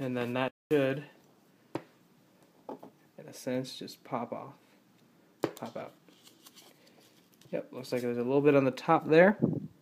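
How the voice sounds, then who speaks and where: Amid noticeable background noise, a man with a medium pitch and fairly even intonation speaks fairly slowly, leaving long, frequent pauses while his loudness swings widely. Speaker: youtuber, lego hobbyist. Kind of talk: tutorial. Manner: halting, many fillers.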